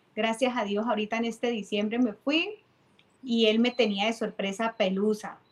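A woman's somewhat breathy voice, fairly high in pitch, with fairly even intonation. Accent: Cali Colombian. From Colombia, Cali. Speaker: timbal player and percussion teacher. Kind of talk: casual interview.

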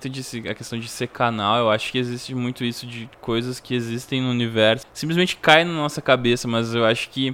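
A man talks at a fairly quick pace with hardly any pauses. His medium-pitched voice has a bright, sharp tone and fairly even intonation. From Rio Grande do Sul, Brazil (Três Coroas). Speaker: podcast host and musician. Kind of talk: casual interview. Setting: at home.

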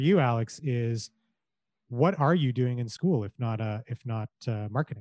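In a Canadian accent, a man speaks in a normal speaking voice at medium pitch and a moderate pace, with lively intonation and a dry, close sound with no echo. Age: 40s. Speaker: storyteller in corporate marketing. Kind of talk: podcast interview. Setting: video call.

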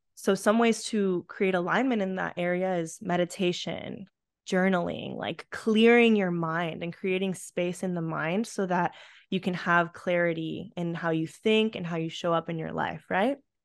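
In a very clean recording with a silent background, a woman with an American accent speaks at a moderate pace and a fairly low pitch. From Colombia, then US and Canada from age eight. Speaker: yoga instructor and life coach. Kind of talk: casual interview chat. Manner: animated.

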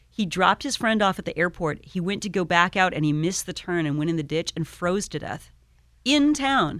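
A woman with an unremarkable speaking voice, fairly low in pitch, talks at a fairly quick pace with lively intonation. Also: very clean recording, silent background. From Iowa. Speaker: radio station manager. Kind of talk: casual interview chat. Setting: radio studio.

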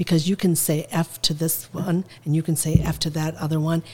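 The voice has a dark, mellow tone and is somewhat breathy. Its pace is moderate. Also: woman. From Lebanon (Zahle), moved to Mankato, Minnesota. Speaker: restaurant owner and city mayor. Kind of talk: casual interview conversation.

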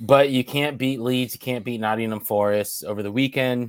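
A man speaks in a plain, everyday voice at medium pitch and moderate pace, with fairly even intonation, on a very clean recording with a silent background. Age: 30s. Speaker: soccer podcast co-host. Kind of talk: casual chat.

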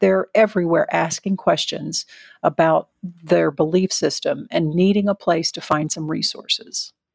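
A woman with a Southern US accent speaks at a moderate pace in a dry, close sound with no echo. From US South. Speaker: volunteer nonprofit leader. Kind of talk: interview.

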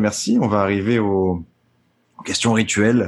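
A man's fairly low-pitched voice. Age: 20s. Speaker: podcast host. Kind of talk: casual interview chat. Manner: halting, many repeated words.

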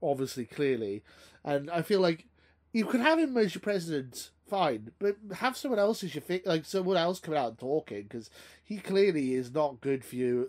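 At a moderate pace, the speaker's pitch swings very widely. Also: man, fairly high pitch for a man. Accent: Welsh. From Wales. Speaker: podcast host.

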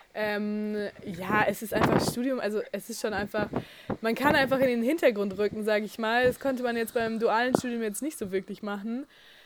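A woman at a fairly high pitch and moderate pace, fairly even in intonation, against noticeable background noise. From Bavaria (near Munich). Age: 20s. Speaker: university student. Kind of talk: interview.

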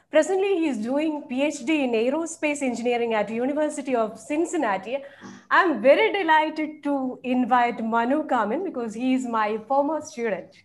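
A woman's high-pitched voice moves at a moderate pace with lively intonation, while noticeable background noise is heard. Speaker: webinar co-host. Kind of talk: formal webinar hosting. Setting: video call.

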